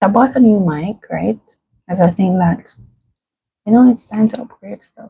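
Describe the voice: A soft-spoken woman talks fairly slowly at a medium pitch with ordinary pitch variation. Her voice is breathy and dark, mellow in tone, with a husky, rough edge and vocal fry.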